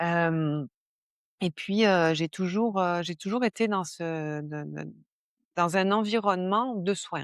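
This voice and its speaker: The voice moves at a very slow pace, with long, frequent pauses and ordinary pitch variation. The recording is very clean, with a silent background. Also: woman, fairly low pitch for a woman, dry, close sound with no echo. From southern France (Var). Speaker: stress management coach, former nurse. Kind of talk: podcast interview. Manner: hesitant, many fillers.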